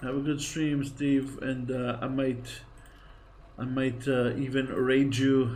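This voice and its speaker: Audible room echo surrounds a man talking at medium pitch and a very slow pace. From Greece. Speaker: gaming streamer. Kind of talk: live game streaming commentary. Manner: casual, chatty.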